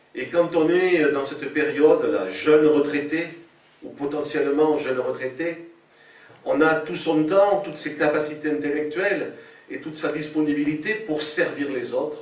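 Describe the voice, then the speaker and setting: With audible room echo around him, a man with a fairly high voice keeps his intonation fairly even while his loudness swings widely. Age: 60s. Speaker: politician. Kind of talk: political speech. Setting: public meeting. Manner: hesitant with frequent euh.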